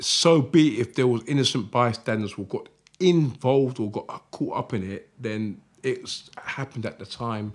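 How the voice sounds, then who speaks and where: At a moderate pace, a man talks in a South London accent. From South London, Croydon. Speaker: jungle MC and author. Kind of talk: interview.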